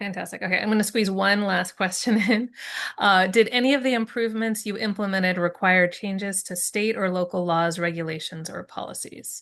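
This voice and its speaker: A plain, everyday voice from a woman at medium pitch, fairly quick in pace, with fairly even intonation. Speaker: webinar moderator. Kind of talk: webinar Q&A and closing.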